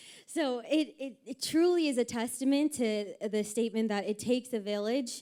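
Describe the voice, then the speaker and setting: This is a woman speaking. Her voice has a dark, mellow tone. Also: very clean recording, silent background. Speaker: family member giving wedding speech. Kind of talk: wedding reception speech.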